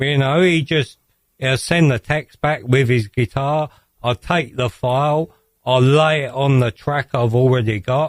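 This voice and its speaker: The sound is dry and close, with no echo. A man speaks at a medium pitch and fairly slow pace, with ordinary pitch variation. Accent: British. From England. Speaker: electronic music producer. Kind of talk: radio interview.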